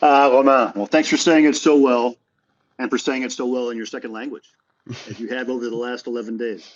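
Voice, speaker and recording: In an ordinary speaking voice, a man talks at a fairly quick pace with medium pitch, fairly even intonation and big swings in loudness. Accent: American. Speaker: tennis journalist and podcast co-host. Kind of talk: casual chat.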